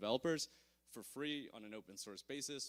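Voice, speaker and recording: Here is a man with a Canadian accent. His pitch varies in an ordinary way. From Canada. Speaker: conference speaker, blockchain security. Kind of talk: conference talk. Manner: hesitant, many fillers.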